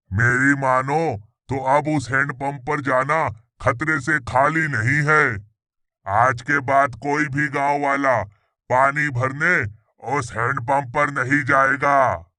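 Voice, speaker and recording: A man performs a cartoonish character voice at a fairly high pitch, speaking fairly slowly with long, frequent pauses against a quiet background. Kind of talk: cartoon character dialogue.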